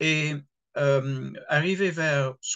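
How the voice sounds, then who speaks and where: Speaking with an English accent, a man has a fairly high voice. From England. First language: English (speaking French). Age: 70s. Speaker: retired pastor. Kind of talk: interview. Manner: hesitant, with fillers and repetitions.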